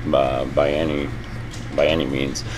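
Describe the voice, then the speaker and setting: A man keeps a moderate pace while noticeable background noise is present. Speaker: lounge owner. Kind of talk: interview. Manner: hesitant, many fillers.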